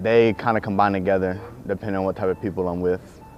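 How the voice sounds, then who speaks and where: Noticeable background noise sits under this man's voice. He has an American accent and a fairly low pitch. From US South. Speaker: student athlete, business major, interviewee. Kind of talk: interview answers.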